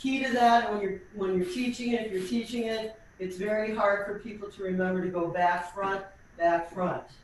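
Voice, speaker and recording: A woman speaks at a moderate pace and medium pitch, with audible room echo and noticeable background noise. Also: ordinary pitch variation. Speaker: tap dance teacher. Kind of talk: online dance class instruction. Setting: video call.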